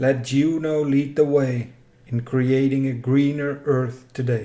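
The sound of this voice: Slow and fairly even in intonation, a man speaks at a medium pitch with a dark, mellow tone.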